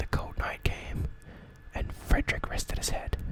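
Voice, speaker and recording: A whisper at a moderate pace, with noticeable background noise. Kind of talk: horror story reading. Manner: nervous, occasionally stuttering.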